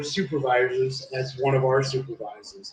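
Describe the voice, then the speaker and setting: Here is a man with an ordinary speaking voice and an American accent. He speaks at a fairly slow pace with fairly even intonation. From US (came as toddler from abroad). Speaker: streamer. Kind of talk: casual chat.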